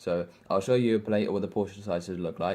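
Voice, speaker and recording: Fairly low in pitch and dark, mellow in tone, a man speaks with a British accent at a fairly quick pace. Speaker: fitness vlogger. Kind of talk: casual vlog tutorial. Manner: fast; animated.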